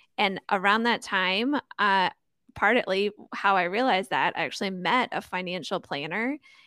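This woman has a bright, sharp tone, medium pitch and ordinary pitch variation, speaking at a moderate pace. The sound is dry and close with no echo, on a very clean recording with a silent background. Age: 30s. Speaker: financial coach and podcast host. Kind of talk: podcast interview. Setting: podcast recording.

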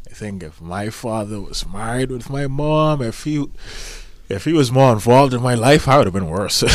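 Amid noticeable background noise, a man at medium pitch speaks at a moderate pace with lively intonation and big swings in loudness. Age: 20s. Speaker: podcast co-host. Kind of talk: casual chat. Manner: joking, animated.

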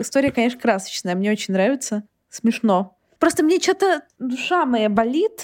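This woman has a high voice with very wide pitch swings. She speaks at a moderate pace. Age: 20s. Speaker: podcast host. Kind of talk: casual chat.

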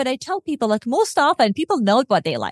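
Someone with a non-native accent speaks in a dry, close sound with no echo. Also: woman. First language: not English. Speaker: podcast host and clinical psychologist. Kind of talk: interview.

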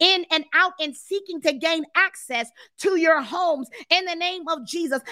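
A woman projects a raised voice at an extremely high pitch, her tone warm and enthusiastic, with ordinary pitch variation at a fairly slow pace and a dry, close sound with no echo. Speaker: deliverance ministry leader and prayer host. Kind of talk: fervent prayer, spiritual warfare intercession. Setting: live stream to online viewers. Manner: intense, commanding, rhythmic and repetitive, building in passion; warm, enthusiastic, greets viewers animatedly.

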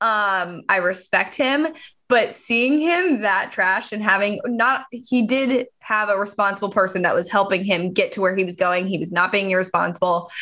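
This woman has an unremarkable speaking voice, medium in pitch with ordinary variation, delivered at a moderate pace. The recording is very clean, with a silent background. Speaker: podcast co-host. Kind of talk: casual chat.

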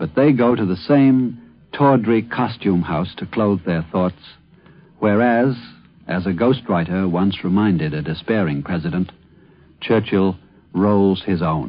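Pausing long and often, a man speaks at a fairly slow pace with a fairly low pitch and lively intonation. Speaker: commentator. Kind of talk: radio essay commentary.

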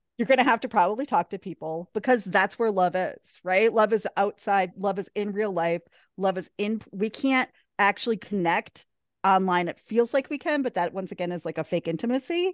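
A woman with an ordinary speaking voice talks at a moderate pace, medium in pitch with ordinary pitch variation. The sound is dry and close with no echo, over a quiet background. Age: 40s. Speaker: positive psychology coach. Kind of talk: casual chat.

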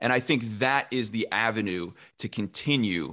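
A man with a Midwestern American accent speaks at a medium pitch. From Illinois, Champaign-Urbana. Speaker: local TV sports director. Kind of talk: interview.

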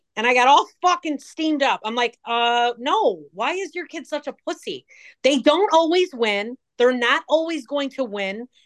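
With a Chicago accent, a woman speaks at a high pitch and moderate pace with lively intonation, in a dry, close sound with no echo. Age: 40s. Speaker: social media personality. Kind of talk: casual chat. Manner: animated.

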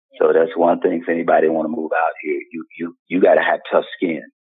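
A man speaking at a fairly quick pace over background music. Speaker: actor. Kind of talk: interview answers.

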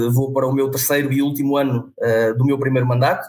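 At a fairly quick pace, a man speaks in a fairly high voice with monotone, flat intonation. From northern Portugal, Vila Nova de Famalicão. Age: 20s. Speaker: rugby club president. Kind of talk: interview.

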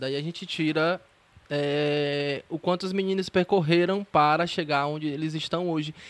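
Over a quiet background, a man with a plain, everyday voice speaks fairly slowly at a fairly high pitch, his intonation fairly even. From Ceará, Brazil. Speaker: podcast host, journalist. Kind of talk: casual interview. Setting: remote call.

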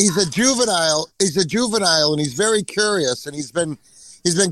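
The speaker has a Boston accent. Their intonation is lively. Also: man. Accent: Boston, New England.

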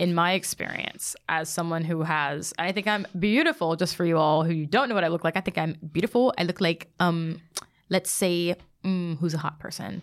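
A woman speaks in a normal speaking voice at a moderate pace. Her pitch is fairly low and her intonation fairly even. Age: 20s. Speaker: podcast guest. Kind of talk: casual chat.

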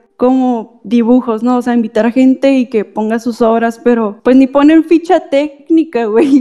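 With ordinary variation in pitch, the woman keeps to a moderate pace. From Tecate, Baja California, Mexico. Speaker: artist. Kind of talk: casual chat.

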